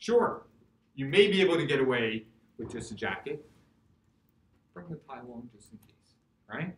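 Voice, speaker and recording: With an American accent, a man talks at a moderate pace in a somewhat breathy voice, using very wide pitch swings, big swings in loudness and long, frequent pauses. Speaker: workshop speaker, business school dean. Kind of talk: lecture.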